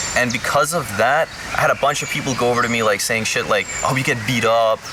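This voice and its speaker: Over noticeable background noise, a man talks at a very fast pace. His pitch is medium, with fairly even intonation. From Denmark. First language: Danish. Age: 20s. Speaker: YouTuber. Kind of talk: casual talk to camera.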